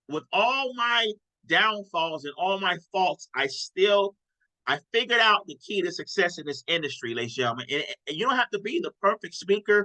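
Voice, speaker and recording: A man's high, raised and projected voice, bright and sharp in tone, with very wide pitch swings and a dry, close sound with no echo. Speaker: sales team leader / trainer. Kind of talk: live online team training. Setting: livestream with chat. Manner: fast; animated.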